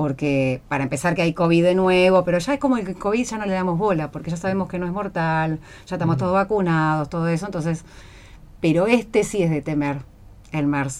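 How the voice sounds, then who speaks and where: A woman speaks fairly quickly in a normal speaking voice with a fairly low pitch. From Buenos Aires, Argentina. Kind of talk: casual chat.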